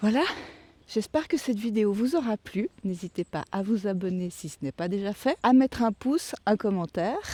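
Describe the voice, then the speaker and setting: Soft-spoken and dark, mellow in tone, a woman talks at a moderate pace and medium pitch with lively intonation, in a dry, close sound with no echo. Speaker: vlogger. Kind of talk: vlog. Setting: outdoors, walking in a forest. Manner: hesitant, many fillers. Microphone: mic close in front.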